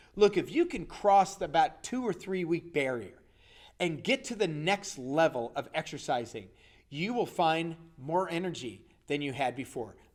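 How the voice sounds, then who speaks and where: In a very clean recording with a silent background, a man speaks in a high pitch at a moderate pace. His tone is animated and his intonation lively. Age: 60s. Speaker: health coach. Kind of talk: motivational talk.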